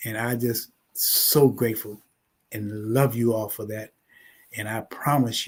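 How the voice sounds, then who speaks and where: A man at medium pitch speaks fairly slowly in a somewhat breathy, monotone, flat way, with long, frequent pauses and big swings in loudness, on a very clean recording with a silent background. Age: 70s. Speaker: funeral home owner. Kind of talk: talk show interview.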